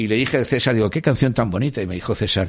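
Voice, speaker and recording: This man talks at a very fast pace. His voice sits fairly low in pitch. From Spain, Madrid. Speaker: former record industry executive. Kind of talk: interview. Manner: halting, with many repetitions.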